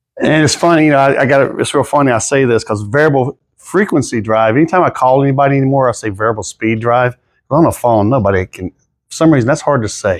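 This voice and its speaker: With a Southern US accent, a man races along at a very fast pace with hardly any pauses, his medium pitch showing ordinary variation over a quiet background. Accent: Southern US, noticeable. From South Carolina. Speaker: drive sales engineer, Navy veteran. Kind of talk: technical presentation. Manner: casual, conversational.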